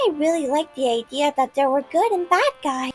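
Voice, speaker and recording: Putting on a character voice at a high pitch, a woman speaks at a fairly quick pace with lively intonation and very even loudness over music in the background. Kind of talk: hard-boiled voice-over. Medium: read story. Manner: eager, chatty.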